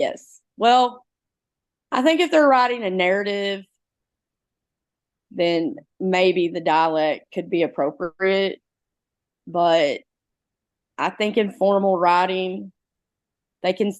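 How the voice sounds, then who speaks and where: Over a quiet background, a woman with a strong Southeast Missouri accent speaks at medium pitch at a very slow pace, with long, frequent pauses. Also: lively intonation. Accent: heavy Southeast Missouri Bootheel. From Southeast Missouri, Bootheel (Clarkton). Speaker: high school English teacher. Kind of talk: interview.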